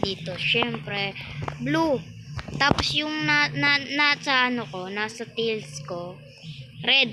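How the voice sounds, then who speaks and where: Through noticeable background noise, a woman with a fairly high voice speaks very slowly, her pitch swinging very widely. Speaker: gaming YouTuber. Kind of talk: gameplay commentary. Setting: alone in private game server. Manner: soft-spoken; casual, halting.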